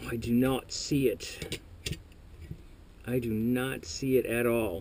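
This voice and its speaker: A man mumbles at a very slow pace and medium pitch. His intonation stays fairly even over noticeable background noise. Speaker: airsoft technician. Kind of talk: tutorial. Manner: mumbling; casual, thinking aloud.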